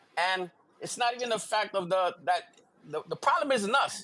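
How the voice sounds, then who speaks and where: A man speaks in a high pitch. His voice is raised and projected. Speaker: livestream guest. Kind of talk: casual chat. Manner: fast.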